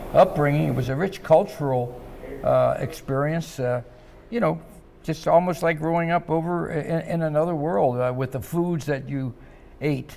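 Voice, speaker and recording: At a moderate pace, a man talks with a Midwestern American accent and ordinary pitch variation. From US Midwest, Cincinnati, Ohio. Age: 80s+. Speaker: restaurant founder and former boxer. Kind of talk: interview.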